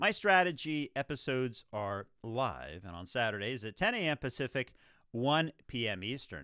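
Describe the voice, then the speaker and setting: Speaking at a fairly slow pace, a man with a medium pitch, very wide pitch swings, a bright, sharp tone and vocal fry comes through on a very clean, dry, close recording with a silent background and no echo. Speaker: radio show host. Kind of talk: live radio show host monologue.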